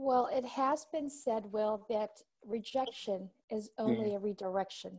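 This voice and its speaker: A woman with a fairly high pitch speaks in an ordinary speaking voice at a fairly slow pace, with ordinary pitch variation. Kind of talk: podcast host interview.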